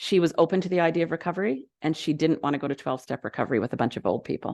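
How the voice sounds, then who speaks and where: With a Canadian accent, a woman speaks at a very fast pace in a very deep, low pitch and a dark, mellow tone against a quiet background. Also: dry, close sound with no echo. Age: 60s. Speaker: recovery consultant and speaker. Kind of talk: presentation talk to an audience. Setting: venue with live audience and Zoom. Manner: loud; casual, conversational with fillers.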